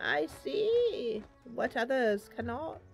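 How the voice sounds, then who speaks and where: A woman's put-on character voice, high in pitch, over faint music in the background. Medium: game stream. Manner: stammering, repetitive, rambling.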